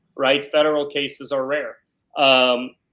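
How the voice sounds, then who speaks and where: A man with a New York accent, fairly high pitch, and a bright, sharp tone at a moderate pace, in a very clean recording with a silent background. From New York, South Brooklyn. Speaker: criminal defense lawyer. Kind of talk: interview.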